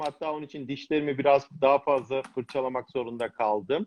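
Fairly high in pitch, the man has an unremarkable speaking voice. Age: 50s. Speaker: cardiovascular surgeon. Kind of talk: casual chat.

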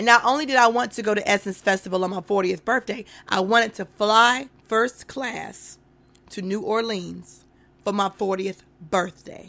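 Loud speech with a bright, sharp tone, fairly even intonation and a moderate pace. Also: woman, medium pitch for a woman. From North Carolina. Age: 40s. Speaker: podcast host. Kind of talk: casual solo livestream talk. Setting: Facebook live stream.

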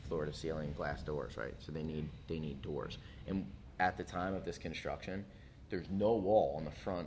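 Speaking at a fairly quick pace, a man with a very deep, low pitch is heard in a room with audible echo. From US East Coast, Philadelphia. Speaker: brewery co-founder. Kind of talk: casual interview.

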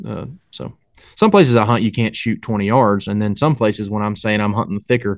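Fairly quick speech with fairly even intonation plays against a quiet background. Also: man, fairly low pitch for a man. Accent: Appalachian. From North Carolina mountains, Boone area. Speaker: hunter and English teacher. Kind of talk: casual chat.

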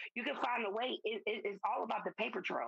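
A woman with a Southern US accent, fairly high pitch and lively intonation, at a moderate pace, in a dry, close sound with no echo. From US South. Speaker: podcast guest. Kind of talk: casual chat.

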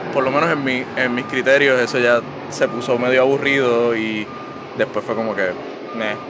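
Over noticeable background noise, a man speaks at a moderate pace with medium pitch and fairly even intonation. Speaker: podcast guest, comic fan. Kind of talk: casual chat. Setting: outdoors in abandoned treehouse.

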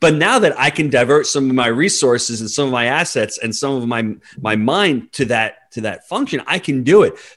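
A man with an American accent and a plain, everyday voice, a fairly high pitch, lively intonation and a moderate pace. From New York. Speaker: real estate investor. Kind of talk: interview.

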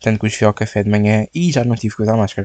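Recorded dry and close with no echo, a man with a European Portuguese accent speaks in a fairly low, dark, mellow voice. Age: 20s. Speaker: podcast host. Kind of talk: casual solo chat. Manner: casual, filler-heavy.

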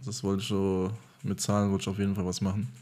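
A man speaks at a very fast pace with monotone, flat intonation. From Germany. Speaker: marketing employee and DJ. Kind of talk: casual chat.

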